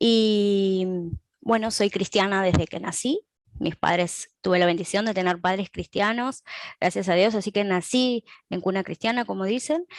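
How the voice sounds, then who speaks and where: In an Argentine accent, a woman speaks at a fairly slow pace and medium pitch with ordinary pitch variation, in a dry, close sound with no echo. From Argentina, Balcarce. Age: 20s. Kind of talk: interview.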